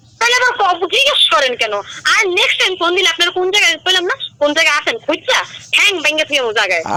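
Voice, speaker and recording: A woman speaks in a raised, projected voice at an extremely high pitch, with very wide pitch swings. Noticeable background noise is present. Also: very even loudness. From Barishal, Bangladesh. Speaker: prank call target. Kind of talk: heated phone argument.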